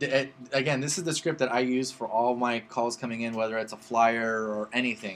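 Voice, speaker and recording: A man's medium-pitched voice, fairly quick and fairly even in intonation, with hardly any pauses. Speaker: real estate agent teaching a class. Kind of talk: live class / workshop with attendees. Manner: fast; blunt, direct.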